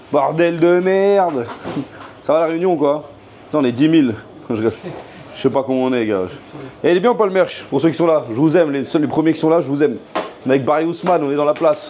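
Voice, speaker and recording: A man speaks in an animated way at a very fast clip, his pitch fairly high, with long pauses coming often. Noticeable background noise runs underneath. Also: ordinary pitch variation. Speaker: chef streaming live from his restaurant kitchen. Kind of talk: casual live stream chat while cooking.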